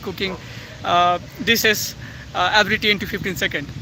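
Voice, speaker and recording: A man talks at a moderate speed while noticeable noise carries on in the background. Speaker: YouTuber. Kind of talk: personal reflection vlog. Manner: halting, many fillers and self-corrections.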